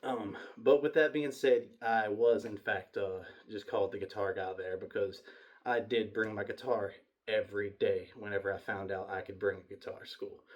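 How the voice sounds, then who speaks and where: A man's loudness swings widely as he keeps a moderate pace. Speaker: YouTuber. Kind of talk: personal storytelling to camera. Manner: halting, many false starts.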